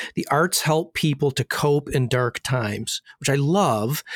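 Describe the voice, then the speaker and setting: An ordinary speaking voice from a man with an American accent, fairly high pitch and ordinary pitch variation, in a dry, close sound with no echo and a very clean recording with a silent background. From US Midwest, northern Michigan. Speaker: podcast co-host. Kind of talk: casual interview chat.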